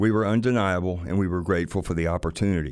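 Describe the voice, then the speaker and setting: A man with a very deep, low voice and a Southern US accent, very fast, with fairly even intonation, on a very clean recording over a silent background. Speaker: music producer and musician. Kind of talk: storytelling.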